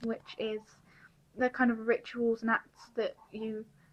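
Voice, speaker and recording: A woman talks at a fairly slow pace with a fairly high pitch. Her intonation is monotone and flat. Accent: British. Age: 20s. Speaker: vlogger sharing mental health experience. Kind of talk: personal vlog testimony.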